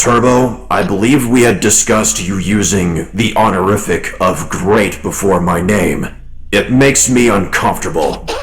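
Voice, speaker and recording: A man puts on a character voice, fairly low in pitch, at a moderate pace. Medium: actual play. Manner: measured, formal, dignified.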